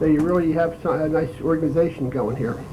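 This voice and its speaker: Noticeable background noise and audible room echo accompany a man with an American accent speaking at a moderate pace. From Philadelphia, US. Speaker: war veteran. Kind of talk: lecture. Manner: halting.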